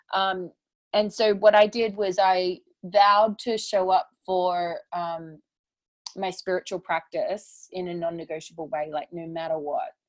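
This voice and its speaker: A woman with an Australian accent talks at a fairly slow pace, medium in pitch with fairly even intonation but big swings in loudness. The sound is dry and close with no echo, against a quiet background. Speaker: spiritual teacher and author. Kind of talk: interview conversation.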